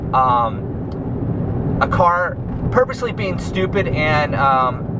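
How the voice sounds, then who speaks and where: Loud and at a medium pitch, a man's voice swings very widely in pitch, with audible room echo and noticeable background noise. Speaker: pro cyclist vlogger. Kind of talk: casual vlog monologue. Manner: halting, many fillers.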